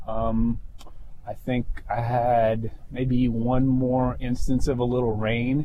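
Very slow, monotone speech from a man with a medium-pitched, dark, mellow voice and audible room echo. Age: 50s. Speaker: ultra-distance cyclist. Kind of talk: interview.

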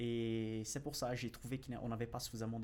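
Speaking fairly quickly, a man holds a medium pitch with monotone, flat intonation. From Brazil. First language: Portuguese (speaking French). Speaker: finance YouTuber and financial analyst. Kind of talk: casual interview.

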